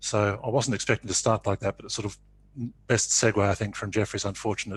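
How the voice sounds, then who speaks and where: With a fairly low pitch and fairly even intonation, a somewhat breathy man speaks at a very fast pace over a quiet background. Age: 60s. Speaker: conference speaker. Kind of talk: panel talk.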